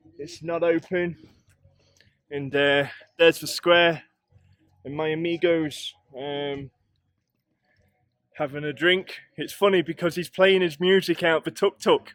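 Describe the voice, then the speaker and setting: A high-pitched man with an English accent speaks with fairly even intonation, long, frequent pauses and big swings in loudness, in a dry, close sound with no echo. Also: fairly slow pace. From England. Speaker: travel vlogger. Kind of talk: vlog narration while walking. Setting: outdoors. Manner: casual, hesitant with fillers.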